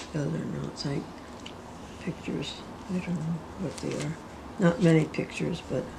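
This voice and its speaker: Over noticeable background noise, a woman keeps a moderate pace but leaves long, frequent pauses. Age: 80s+. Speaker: retired factory worker. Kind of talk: casual conversation looking at family photos.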